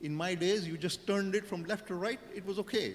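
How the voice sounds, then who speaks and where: Against noticeable background noise, a man with a high pitch speaks with ordinary pitch variation. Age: 60s. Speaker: panelist. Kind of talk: panel discussion. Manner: hesitant, with fillers and repetitions.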